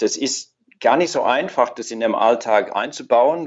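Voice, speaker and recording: Someone with an English accent speaks at a moderate pace, with ordinary pitch variation. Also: man. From Australia. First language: English (speaking German). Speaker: orchestra horn player. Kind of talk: casual chat. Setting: Skype call. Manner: halting, repeats words.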